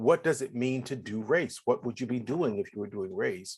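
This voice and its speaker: Against a quiet background, a man speaks at a moderate pace with a medium pitch. His tone is animated, with lively intonation. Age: 60s. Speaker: diversity educator and reverend. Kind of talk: interview. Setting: livestream video call.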